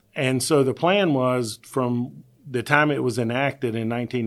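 A plain, everyday voice: a man with an American accent, medium pitch, ordinary pitch variation and a moderate pace. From US South, Virginia. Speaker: county treasurer. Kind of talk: interview.

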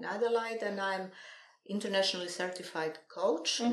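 A woman speaks at a moderate pace. She has a European accent. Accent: non-native English accent, European. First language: not English. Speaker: NLP coach and trainer. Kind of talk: casual interview.

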